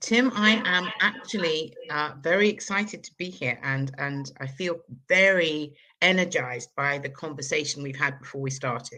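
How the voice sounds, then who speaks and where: A woman with a southern English accent speaks at a moderate pace in a very deep, low pitch, her intonation lively and her loudness swinging widely. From London, England. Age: 60s. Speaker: energy healer. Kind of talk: interview.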